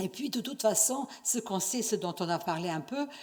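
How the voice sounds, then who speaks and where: This woman speaks with a non-native accent at medium pitch. Her intonation is lively. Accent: foreign accent in French. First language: not French (speaking French). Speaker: university researcher, conference speaker. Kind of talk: conference lecture. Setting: conference stage with audience. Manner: hesitant, many fillers and restarts.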